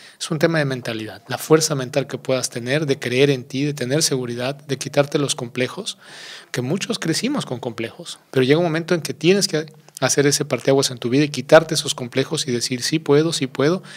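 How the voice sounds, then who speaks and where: The pace of this man's speech is fairly quick, and he has an unremarkable speaking voice. Ordinary pitch variation moves around a fairly high pitch. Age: 40s. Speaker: former public official. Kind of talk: interview.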